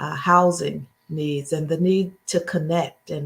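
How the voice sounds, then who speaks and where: At a fairly slow pace, a woman with a fairly low pitch and fairly even intonation speaks in a normal speaking voice. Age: 60s. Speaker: mayor. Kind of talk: town hall remarks.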